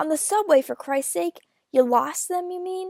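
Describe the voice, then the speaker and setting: A put-on character voice drawls at a moderate pace with big swings in loudness. The sound is dry and close, with no echo. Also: woman, extremely high pitch for a woman. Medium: read story. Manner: bored, tired drawl.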